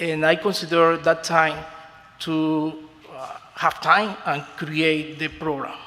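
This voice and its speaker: Speaking very slowly with a Spanish accent, a man uses monotone, flat intonation at a fairly high pitch, with big swings in loudness and noticeable background noise. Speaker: beauty school owner. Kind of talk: formal testimony before a commission. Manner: halting, with many fillers.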